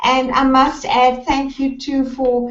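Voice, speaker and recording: A woman's high-pitched voice in a South African accent, very slow, against noticeable background noise. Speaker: life coach. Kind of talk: talk.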